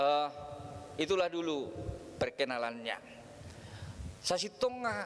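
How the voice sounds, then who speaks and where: With a North Sumatran accent, a man talks in very wide pitch swings over noticeable background noise. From North Sumatra, Batak homeland. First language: Batak Toba (speaking Indonesian). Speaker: preacher. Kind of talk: sermon.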